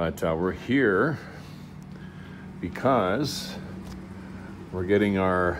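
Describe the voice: A man talks at a very slow pace with a low pitch. His intonation is lively.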